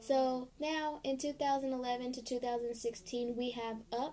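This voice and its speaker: A woman with a high pitch and a dark, mellow tone talks at a fairly slow pace. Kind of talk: casual talk to camera. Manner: monotone.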